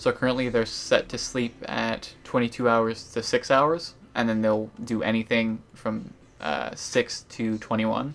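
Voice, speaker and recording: A man at medium pitch on a very clean recording with a silent background. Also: ordinary pitch variation. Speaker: gaming YouTuber. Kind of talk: game tutorial chat. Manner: fast.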